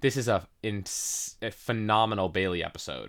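A man with a normal speaking voice talks at a fairly low pitch with fairly even intonation. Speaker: podcast host. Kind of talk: casual chat. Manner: casual, conversational.

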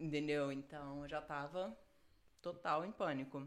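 A woman speaks at a very slow pace. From Rio de Janeiro, Brazil. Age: 30s. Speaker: jiu-jitsu world champion. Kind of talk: casual interview.

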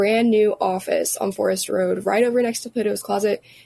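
Fairly high-pitched female voice with noticeable background noise. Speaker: chamber of commerce staffer. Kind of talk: interview. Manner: casual, filler-heavy.

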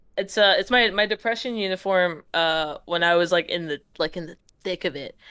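A woman speaks in a normal speaking voice at a medium pitch and moderate pace. Her loudness swings widely, while her pitch variation stays ordinary. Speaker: comedian. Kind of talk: casual chat.

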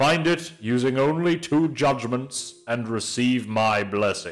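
A man booms in a put-on character voice at a fairly slow pace. Faint music sits in the background. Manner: grand, judging.

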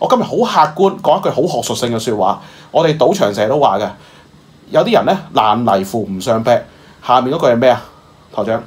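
Noticeable background noise sits behind a man speaking at a fairly quick pace. His medium-pitched voice has an animated tone and very wide pitch swings. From Macau. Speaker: current affairs commentator. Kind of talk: casual chat.

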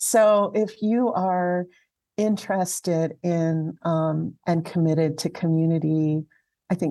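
A woman with an American accent, her voice fairly low-pitched and dark and mellow in tone, her intonation fairly even, against a quiet background. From Southern California (Alhambra). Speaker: community archivist. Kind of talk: interview. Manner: halting, with fillers.

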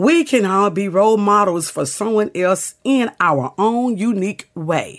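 A woman at a medium pitch, fairly slow in pace, with lively intonation. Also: hardly any pauses. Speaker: podcast host. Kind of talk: reading aloud letters.

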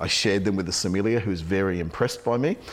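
Low-pitched for a man, this speaker talks at a fast pace with ordinary pitch variation.

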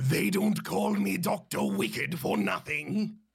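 In a put-on character voice of medium pitch, a man talks fairly slowly. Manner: wicked, villainous.

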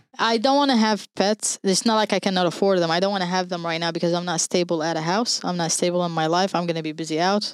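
The speech moves at a very fast pace with hardly any pauses. Its pitch varies in an ordinary way. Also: woman, fairly low pitch for a woman. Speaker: podcast co-host. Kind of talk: casual chat.

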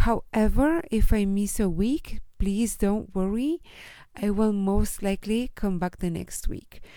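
The voice has a dark, mellow tone and moves at a fairly slow pace. The recording is very clean, with a silent background. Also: woman, medium pitch for a woman, ordinary pitch variation. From Chile. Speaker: life coach and podcast host. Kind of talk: solo podcast introduction.

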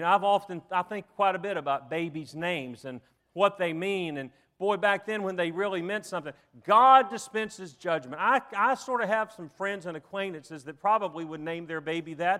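High-pitched man with a Southern US accent and a bright, sharp tone, at a moderate pace with big swings in loudness, on a very clean recording with a silent background. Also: ordinary pitch variation. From US South. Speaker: preacher. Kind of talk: sermon. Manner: halting.

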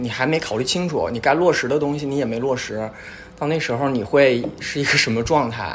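With audible room echo and noticeable background noise, a man speaks at a fairly quick pace and fairly high pitch, with ordinary pitch variation. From Northeast China. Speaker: podcast guest. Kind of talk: casual chat.

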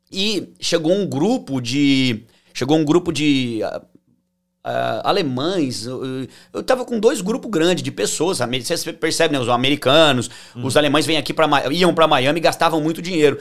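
Speaking at a moderate pace with an interior São Paulo accent, a man uses lively intonation and a fairly high pitch while music plays in the background. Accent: interior São Paulo (caipira). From interior of São Paulo state, Brazil (Tupã). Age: 30s. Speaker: financial consultant. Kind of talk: interview, personal life story.

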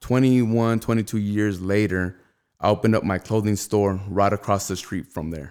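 A man with an American accent speaks in an ordinary speaking voice, fairly low and at a moderate pace. His intonation is fairly even, and the recording is very clean with a silent background. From Rialto, Southern California. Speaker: clothing brand founder. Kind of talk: casual interview.

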